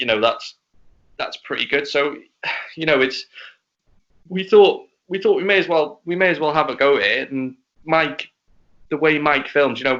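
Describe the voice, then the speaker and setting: Speaking with a Liverpool accent in a fairly high pitch, a man leaves long, frequent pauses. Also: ordinary pitch variation, moderate pace. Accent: Scouse. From Wales, partly Liverpool. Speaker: racing driver. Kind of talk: casual chat. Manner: halting, repeats words.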